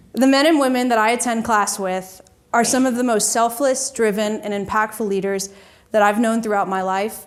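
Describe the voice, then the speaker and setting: With an American accent, a woman speaks in an unremarkable speaking voice, fairly high-pitched, at a moderate pace with fairly even intonation. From Georgia, US. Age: 20s. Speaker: student and Air Force veteran. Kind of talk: formal speech. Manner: formal.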